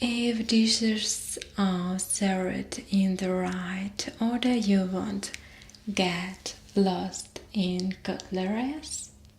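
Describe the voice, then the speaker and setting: A woman's medium-pitched voice at a very slow pace, with fairly even intonation and noticeable background noise. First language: Russian. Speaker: ASMR artist. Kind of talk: ASMR roleplay. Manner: soft-spoken, whispered.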